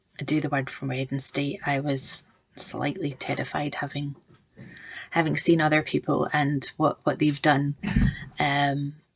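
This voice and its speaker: A woman with a very deep, low pitch and vocal fry, in a monotone, flat intonation at a moderate pace. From Scotland, Glasgow. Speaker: project manager giving a church devotional. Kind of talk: devotional talk to camera. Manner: halting, many fillers.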